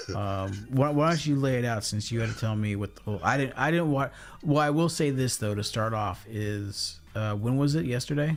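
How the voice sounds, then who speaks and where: A man speaks at a medium pitch with a normal speaking voice. His intonation is lively, and he hardly pauses at all. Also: moderate pace. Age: 40s. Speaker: live stream host, visually impaired YouTuber. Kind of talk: casual discussion. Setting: live stream.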